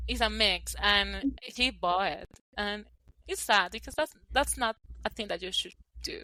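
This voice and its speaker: With a Colombian accent, a woman speaks at a fairly slow pace, leaving long, frequent pauses. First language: Spanish. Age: 20s. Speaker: podcast co-host. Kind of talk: casual chat.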